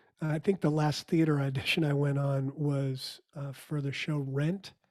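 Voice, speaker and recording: The voice has a dark, mellow tone, is somewhat breathy, keeps a fairly even intonation and sounds dry and close with no echo. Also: man. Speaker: musician and theatre performer. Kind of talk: podcast interview.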